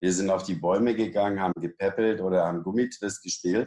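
Here is a man with an unremarkable speaking voice and fairly low pitch. He keeps a moderate pace and fairly even intonation. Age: 60s. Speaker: fitness and back-training expert. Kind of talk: interview. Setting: studio.

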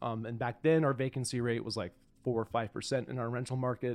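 A man speaks at a fairly quick pace with a medium pitch. The background is quiet. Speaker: podcast host. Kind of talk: casual chat. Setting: studio. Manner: loud.

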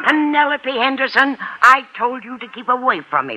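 A woman's put-on character voice, high-pitched, slow, with big pitch swings.

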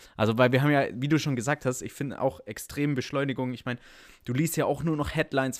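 A normal speaking voice at a fairly quick pace, on a very clean recording with a silent background. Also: man. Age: 20s. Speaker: podcast guest, volunteer organization member. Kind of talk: casual chat.

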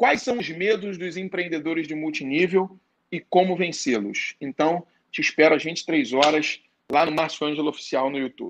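Lively intonation carries the moderately paced speech. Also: man. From Rio de Janeiro, Brazil. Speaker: network marketing entrepreneur. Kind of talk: interview.

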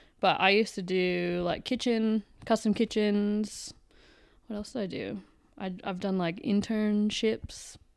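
On a very clean recording with a silent background, a woman with an unremarkable speaking voice speaks at a fairly slow pace, her medium pitch held in fairly even intonation. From Canada. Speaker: interior designer and podcast co-host. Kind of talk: casual chat.

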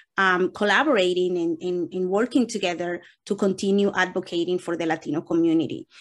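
A woman with a Spanish accent, ordinary pitch variation and a quiet background. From Dominican Republic (Santo Domingo). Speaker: nonprofit executive director. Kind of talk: interview answers.

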